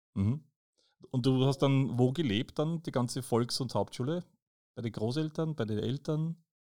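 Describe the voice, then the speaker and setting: In a very clean recording with a silent background, a man talks at medium pitch with a dark, mellow tone. He keeps a moderate pace and ordinary pitch variation, with long, frequent pauses. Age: 50s. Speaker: podcast host, visually impaired. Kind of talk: casual interview.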